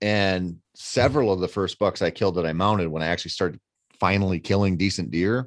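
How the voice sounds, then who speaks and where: A man with a plain, everyday voice, fairly low in pitch, at a fairly quick pace against a quiet background. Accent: American. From Minnesota. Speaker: outdoor writer and hunter. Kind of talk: casual chat.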